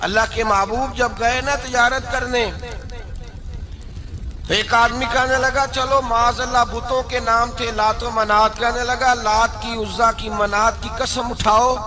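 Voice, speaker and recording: A man speaks in a raised, projected voice at an extremely high pitch, with monotone, flat intonation and noticeable background noise. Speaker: Islamic preacher giving a sermon. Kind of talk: religious sermon (bayan) telling stories of the Prophet's life.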